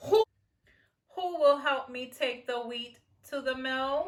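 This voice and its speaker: A woman's put-on character voice, high in pitch and fairly slow. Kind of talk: bedtime story. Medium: read story. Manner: earnest, steady.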